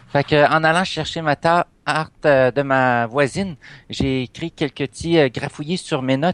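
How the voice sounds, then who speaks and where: A man with an unremarkable speaking voice talks at a fairly high pitch with ordinary pitch variation. His loudness swings widely. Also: dry, close sound with no echo. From Canada, moved between provinces (military family). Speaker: role-playing game player. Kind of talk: casual role-play chat.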